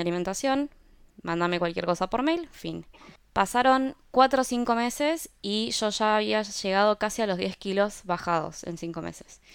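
Very clean, with a silent background, the recording holds a woman with a normal speaking voice. She speaks at a medium pitch and moderate pace with lively intonation. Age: 30s. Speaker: product designer and health influencer. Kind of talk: interview conversation.

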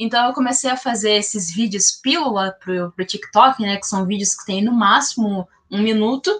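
The speaker uses a normal speaking voice at a moderate pace with ordinary pitch variation. There are hardly any pauses. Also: woman, fairly high pitch for a woman. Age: 20s. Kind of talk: podcast interview.

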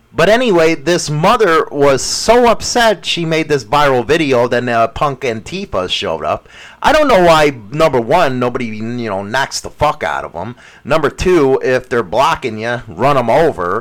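At a moderate pace, a man speaks at a fairly high pitch with very wide pitch swings. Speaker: radio host. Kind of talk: heated political rant, crude and opinionated, punctuated by laughs. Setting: radio studio, live stream. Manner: angry, ranting, loud and scornful, profane; joking, teasing banter.

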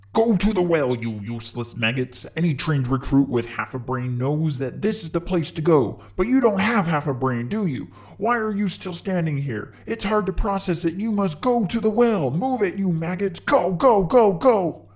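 Shouting at a moderate pace with very wide pitch swings and hardly any pauses. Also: man, high pitch for a man. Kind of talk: comic overacting. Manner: angry, yelling, insulting.

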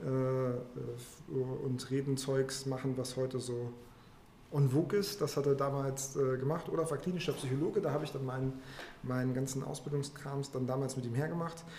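Here a man talks at a medium pitch and moderate pace with fairly even intonation. Audible room echo and noticeable background noise surround him. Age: middle-aged. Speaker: finance professional. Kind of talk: interview conversation.

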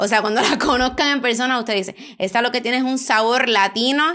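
Noticeable background noise sits behind a woman with a high pitch. She talks at a moderate pace in an animated tone. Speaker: podcast host, eyelash extension educator. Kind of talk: casual chat. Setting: recording together at a meal in Spain.

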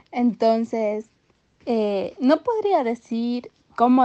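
A woman is speaking. Her pitch is fairly high. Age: 20s. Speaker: young mother sharing her story. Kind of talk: personal testimony interview.

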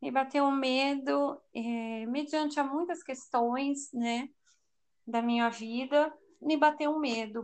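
Delivered very slowly, the speech keeps a fairly even intonation. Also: woman, high pitch for a woman. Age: 40s. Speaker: churchgoer and mother. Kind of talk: casual chat.

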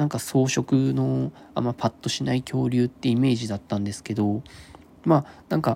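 A man speaks at a fairly quick pace. His tone is dark and mellow. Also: medium pitch for a man, ordinary pitch variation. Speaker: podcast host, unemployed former nurse. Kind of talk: solo casual talk. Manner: halting, stumbling over words; fast in places.

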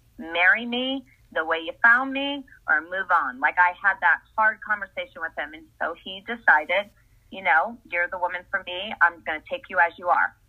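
A woman with an American accent speaks at a moderate pace and a medium pitch, in a normal speaking voice. Her intonation is lively, and her loudness swings widely. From US Northeast, Essex, Connecticut. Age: 50s. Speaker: wellness coach. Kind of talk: casual interview.

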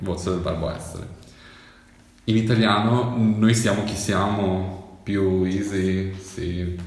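A man speaks at a very slow pace with long, frequent pauses and monotone, flat intonation. Audible room echo and noticeable background noise fill the recording. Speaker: podcast guest, amateur actor. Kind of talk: casual chat. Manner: talkative.

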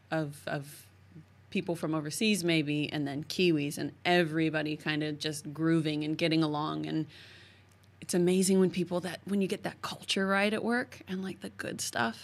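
A woman with a very deep, low pitch at a moderate pace, on a very clean recording with a silent background. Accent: American. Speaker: podcast host. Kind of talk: casual interview chat. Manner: animated, enthusiastic.

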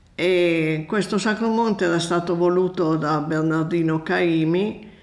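A woman's very deep, low voice at a fairly slow pace, with fairly even intonation and audible room echo. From Piedmont, Italy (Novara area). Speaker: friend of host, traveller. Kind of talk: casual interview, travel stories.

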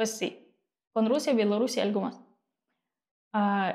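Her tone is dark and mellow. The woman's pitch is fairly high. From eastern Ukraine, Mariupol. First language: Ukrainian or Russian (speaking Spanish). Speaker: model and activist. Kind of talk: interview. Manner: halting.

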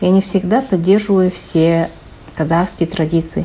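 A woman speaks at a moderate pace with a medium pitch. It is an unremarkable speaking voice. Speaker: chemistry researcher. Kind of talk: reading prepared answers.

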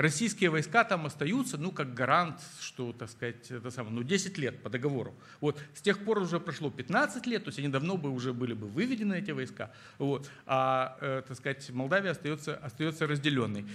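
This man's voice sits fairly high in pitch and moves with lively intonation. He talks at a moderate pace. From Moldova (Chisinau). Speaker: historian and book publisher. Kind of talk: interview on stage before an audience. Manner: halting with many fillers.

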